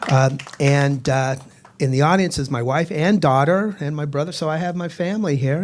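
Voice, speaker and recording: A man with an American accent speaks in a normal speaking voice, fairly high in pitch, with ordinary pitch variation. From Boston, Massachusetts. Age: 60s. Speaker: stand-up comedian. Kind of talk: stand-up. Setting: stage with audience.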